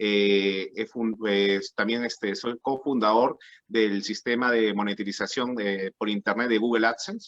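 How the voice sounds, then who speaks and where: A monotone voice with flat intonation and a Peruvian accent, recorded with a dry, close sound and no echo. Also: man. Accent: Peruvian Spanish (Lima). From Peru, Lima. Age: 30s. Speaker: political candidate. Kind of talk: political debate. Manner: halting.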